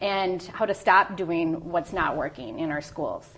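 A plain, everyday voice from a woman with an American accent, medium in pitch, at a moderate pace with ordinary pitch variation. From US Midwest, Minneapolis. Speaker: school board candidate. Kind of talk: candidate interview.

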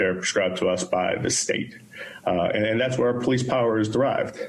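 The speaker has an American accent, with audible room echo and noticeable background noise on the recording. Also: man. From Pittsburgh, Pennsylvania. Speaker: police chief candidate. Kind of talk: job interview. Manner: halting, many repeated words and fillers.

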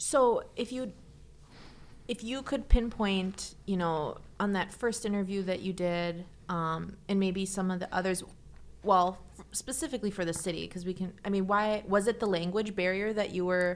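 A woman at a medium pitch speaks at a moderate pace with ordinary pitch variation in an unremarkable speaking voice, on a very clean recording with a silent background. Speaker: podcast host and public information officer. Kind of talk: interview, casual chat with scripted intro.

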